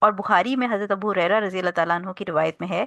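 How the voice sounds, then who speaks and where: A soft-spoken woman is heard in a dry, close sound with no echo against a quiet background. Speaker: Islamic teacher. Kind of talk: lecture.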